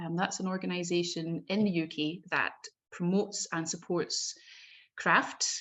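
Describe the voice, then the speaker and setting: Flat and monotone, a woman with a Scottish accent speaks in a fairly low pitch. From Scotland, Glasgow. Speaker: bookbinder. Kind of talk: presentation talk. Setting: video call.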